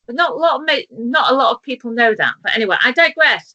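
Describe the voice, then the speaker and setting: A woman with a British accent speaks in a high, raised, projected voice. Her tone is bright and sharp, with very wide pitch swings. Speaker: talk show host. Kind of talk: casual interview chat. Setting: video call from kitchen table. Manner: slow.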